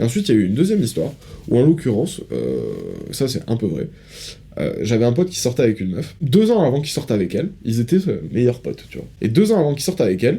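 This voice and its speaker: Speaking at a very fast pace, a man uses very wide pitch swings around a medium pitch. His voice has a dark, mellow tone and vocal fry. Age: 20s. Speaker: podcast co-host. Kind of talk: casual chat.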